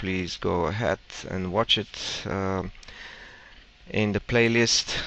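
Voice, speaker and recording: Slow-ish and very deep, a man speaks at a fairly slow pace with ordinary pitch variation. His tone is bright and sharp. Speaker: programming tutorial instructor. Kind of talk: casual instructional. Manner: speaks very slowly.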